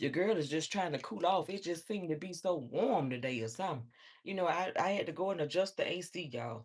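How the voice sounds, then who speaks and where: Against a quiet background, a woman with a fairly low pitch speaks fairly quickly in an animated tone with very wide pitch swings. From Alabama, US South. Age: 40s. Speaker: livestreamer. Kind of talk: casual livestream chat.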